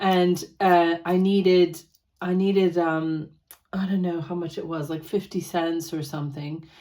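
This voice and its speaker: A woman's ordinary speaking voice with an American accent, fairly low in pitch, at a moderate pace with fairly even intonation. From United States. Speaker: personal finance vlogger. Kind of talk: casual vlog chat.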